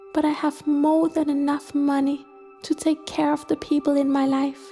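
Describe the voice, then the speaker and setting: Music plays behind a woman speaking at a moderate pace in a high pitch. Her intonation is monotone and flat, her loudness very even. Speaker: guided meditation narrator. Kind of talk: first-person money affirmations.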